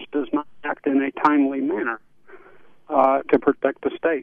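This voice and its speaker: A man's fairly high pitch at a moderate pace with fairly even intonation, an unremarkable speaking voice. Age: 60s. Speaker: caller, Vietnam veteran. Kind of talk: radio call-in.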